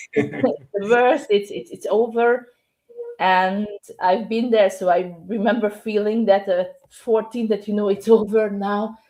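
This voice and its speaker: Speaking with a Hungarian accent, a woman of medium pitch talks at a fairly slow pace with fairly even intonation. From Hungary. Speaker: novelist and English teacher. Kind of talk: podcast interview.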